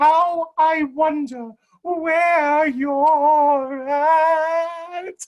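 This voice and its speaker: A high pitch marks this put-on character voice. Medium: stage play. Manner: scatterbrained, whimsical.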